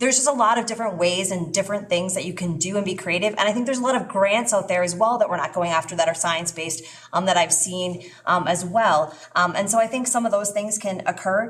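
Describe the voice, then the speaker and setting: Over noticeable background noise, the speech moves at a very fast pace with ordinary pitch variation. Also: woman, medium pitch for a woman. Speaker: school board candidate. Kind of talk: public forum answer. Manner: halting.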